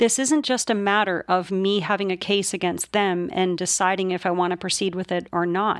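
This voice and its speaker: An unremarkable speaking voice with a Canadian accent, moderate pace, and a very clean recording with a silent background. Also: woman. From Canada. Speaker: police whistleblower podcaster. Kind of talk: unscripted podcast monologue.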